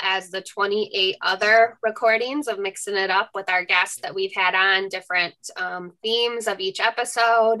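Over a quiet background, a woman talks at a fairly slow pace with fairly even intonation. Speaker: webinar co-host. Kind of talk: housekeeping announcements. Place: home room. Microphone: video call.

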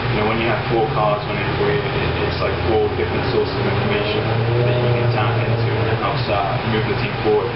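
A man talks at a fairly quick pace while loud background noise goes on around him. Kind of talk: interview answer.

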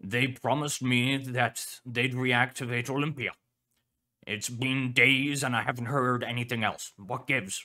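The speaker uses a gruff, put-on character voice. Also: man, medium pitch for a man, moderate pace. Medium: virtual streamer. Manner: gruff, irritated, barking.

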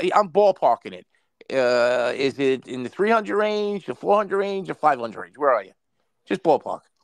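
Recorded dry with no echo against a quiet background, a man with a high pitch speaks fairly slowly, with very wide pitch swings and big swings in loudness. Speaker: caller. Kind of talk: casual chat. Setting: video call. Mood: joking, banter. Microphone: video call.

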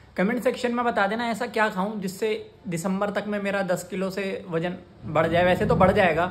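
A man talks at a fairly quick pace. His pitch is high. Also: fairly even intonation.

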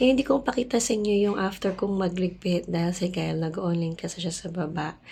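A somewhat breathy woman with a dark, mellow tone and medium pitch, ordinary pitch variation and a moderate pace, on a very clean recording with a silent background. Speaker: vlogger. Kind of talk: casual vlog talk to camera. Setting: at home.

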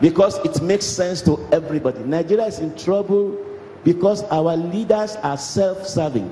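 With audible room echo and light background noise, a man with a high pitch talks at a moderate pace, his pitch varying in an ordinary way. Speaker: cleric preaching. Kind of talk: sermon. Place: church. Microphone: handheld.

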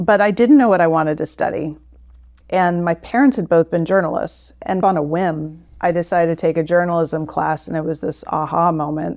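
Against a quiet background, a woman with a fairly low pitch and ordinary pitch variation talks at a moderate pace. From Florida, US (St. Pete Clearwater area). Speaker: investment strategist. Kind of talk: interview.

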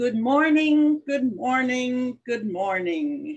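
A put-on character voice with a Norwegian accent speaks at a very slow pace and a fairly high pitch. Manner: cheerful greeting.

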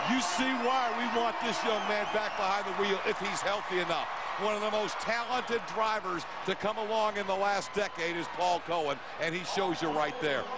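Over loud background noise, a man uses a raised, projected voice at a high pitch and moderate pace, with ordinary pitch variation and a dry sound with no echo. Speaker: TV play-by-play commentator. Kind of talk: live TV sports commentary, hyped play-by-play. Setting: broadcast booth in a packed stadium. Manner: energetic, hype-building showman; punchy promotional delivery, repeating network plugs.

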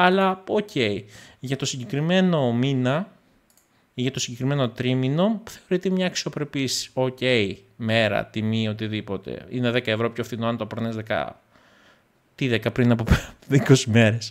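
Against a quiet background, a man speaks at a fairly slow pace. His intonation is lively. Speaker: tech YouTuber. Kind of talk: casual vlog monologue. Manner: calm and gentle; halting. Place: home room.

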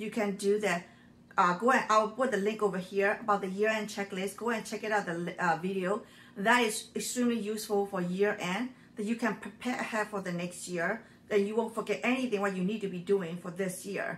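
A woman at a fairly quick pace, her intonation fairly even. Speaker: frugal living channel host. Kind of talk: casual vlog chat. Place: kitchen. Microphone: phone near.

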